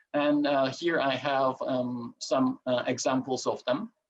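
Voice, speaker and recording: Lively intonation marks a man's fairly high voice. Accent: Turkish. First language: Turkish. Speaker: presenter on ancient coins. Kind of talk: lecture. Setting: video call. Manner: halting, many fillers.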